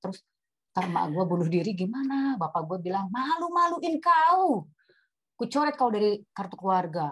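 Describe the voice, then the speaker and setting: A woman's somewhat breathy voice at a fairly quick pace with lively intonation. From Batak, North Sumatra, Indonesia. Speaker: webinar speaker on marriage. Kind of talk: personal testimony in a webinar talk. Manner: animated, mixes English into Indonesian.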